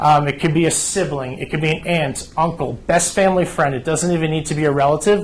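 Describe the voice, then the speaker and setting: Over noticeable background noise, a man with an American accent talks at a very fast pace with hardly any pauses, his fairly high voice keeping a fairly even intonation. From New Jersey. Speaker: home care agency representative. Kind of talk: informational presentation.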